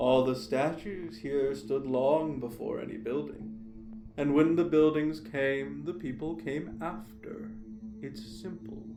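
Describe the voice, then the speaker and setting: Over clear music in the background, a man uses a put-on character voice at a medium pitch and a fairly slow pace. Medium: audio drama. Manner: curt, grumpy.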